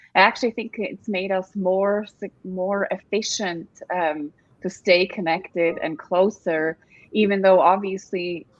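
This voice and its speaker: A woman's medium-pitched voice in a Swiss accent, fairly slow, with ordinary pitch variation. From Switzerland. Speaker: staffing industry executive, panelist. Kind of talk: panel discussion.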